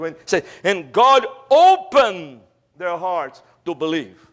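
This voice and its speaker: Against a quiet background, a man speaks very slowly in a high voice. His pitch varies in an ordinary way. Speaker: preacher. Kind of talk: sermon. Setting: church. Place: church. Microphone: podium.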